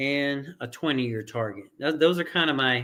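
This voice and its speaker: Pitch shifts ordinarily as this man delivers his words fairly slowly. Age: 50s. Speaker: crypto investor and trading educator. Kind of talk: tutorial. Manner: halting, many restarts and fillers.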